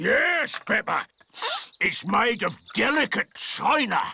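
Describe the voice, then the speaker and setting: A man's cartoonish character voice at an extremely high pitch and a fairly slow pace. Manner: hearty, blunt.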